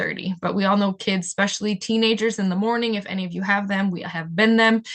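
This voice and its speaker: A woman at medium pitch, with a fairly quick pace and monotone, flat intonation. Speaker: nonprofit program coordinator. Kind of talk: webinar presentation. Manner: fast.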